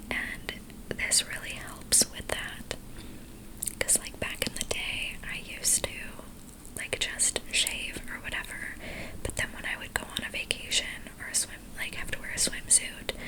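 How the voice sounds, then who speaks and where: A woman whispering with long, frequent pauses against noticeable background noise. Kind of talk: ASMR makeup ramble. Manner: whispered, slow, breathy.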